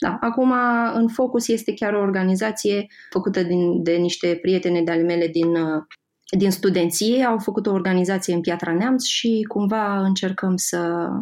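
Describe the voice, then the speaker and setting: A woman speaks at a moderate pace with fairly even intonation. Her pitch sits in the medium range, and it's a plain, everyday voice. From Moldova region. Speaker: graphic designer and Instagram creator. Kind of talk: podcast interview.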